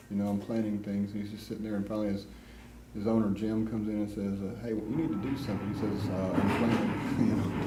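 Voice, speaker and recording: A man with a fairly low pitch speaks at a fairly quick pace with monotone, flat intonation, over noticeable background noise and audible room echo. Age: 50s. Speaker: amateur videographer filming an art class. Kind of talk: casual chat. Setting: art class.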